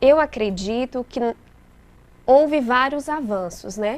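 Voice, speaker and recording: With a Bahian accent, a woman with a high voice speaks at a fairly slow pace. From interior of Bahia, Brazil. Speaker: lawyer. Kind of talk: interview.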